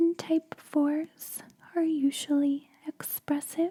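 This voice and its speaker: A woman at a very slow pace, with a dry, close sound and no echo. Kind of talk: ASMR roleplay, enneagram coaching session. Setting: studio, close-mic ASMR. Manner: soft-spoken, whispered, slow.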